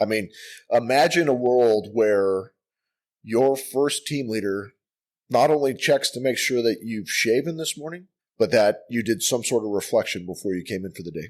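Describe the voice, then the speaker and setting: A man with an American accent at medium pitch, moderate pace, lively intonation and big swings in loudness, on a very clean recording with a silent background. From US Midwest, Milwaukee, Wisconsin. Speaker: army command sergeant major. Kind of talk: casual chat. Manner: rambling.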